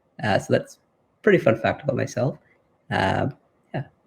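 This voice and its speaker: A man speaks with a Canadian accent in a somewhat breathy voice. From Canada (Toronto). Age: 30s. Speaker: interviewee living with muscular dystrophy. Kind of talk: interview testimony. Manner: halting, many fillers.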